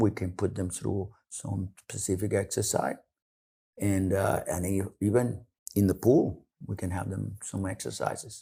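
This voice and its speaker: A man with a dark, mellow, somewhat breathy voice and fairly low pitch talks at a fairly slow pace in a very clean recording with a silent background. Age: 70s. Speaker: clinical exercise director. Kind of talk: podcast interview. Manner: halting, many restarts.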